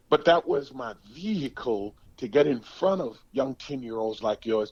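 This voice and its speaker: A man at a fairly slow pace with lively intonation. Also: medium pitch for a man. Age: 60s. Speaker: former pro football player. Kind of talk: podcast interview. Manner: repeats words, halting.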